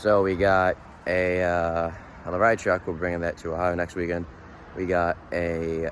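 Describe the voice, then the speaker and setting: This man has a Boston accent, a very deep, low voice and a relaxed tone. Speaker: vlogger, monster truck crew member. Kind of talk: casual vlog talk to camera. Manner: casual, relaxed.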